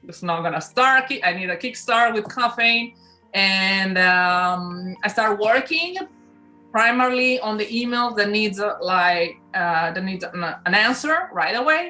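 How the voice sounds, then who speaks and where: A woman with an Italian accent speaks at a fairly slow pace with lively intonation while music plays in the background. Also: fairly high pitch for a woman. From Italy (Milan). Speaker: influencer, sports announcer, DJ. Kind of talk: interview answer.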